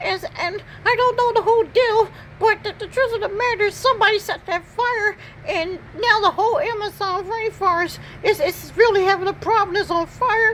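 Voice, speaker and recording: At a moderate pace, a put-on character voice speaks at an extremely high pitch with clear background noise behind it. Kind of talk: comic pet voiceover. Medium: voice reel. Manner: rambling, repetitive, stammering.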